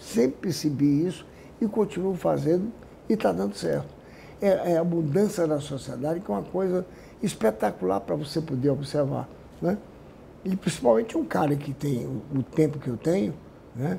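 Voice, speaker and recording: A man speaks at a moderate pace with long, frequent pauses, his fairly high voice showing very wide pitch swings. His tone is dark and mellow, with vocal fry. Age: 70s. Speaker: businessman. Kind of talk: interview.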